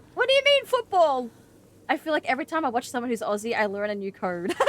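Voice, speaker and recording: The voice moves in very wide pitch swings. Noticeable background noise runs beneath it. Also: woman. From Australia. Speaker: gaming streamer. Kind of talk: live gameplay streaming chat.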